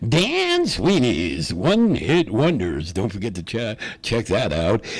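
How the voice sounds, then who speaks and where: Putting on a character voice, a man speaks fairly slowly at a medium pitch with very wide pitch swings. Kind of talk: radio announcer voice.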